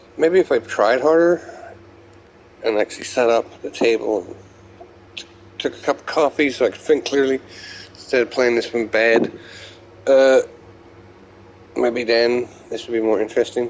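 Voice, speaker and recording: Over noticeable background noise, a man with a medium pitch and ordinary pitch variation speaks at a moderate pace, with big swings in loudness and long, frequent pauses. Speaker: gamer recording gameplay diary. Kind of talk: casual gameplay commentary. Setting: playing in bed. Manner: halting, stuttering.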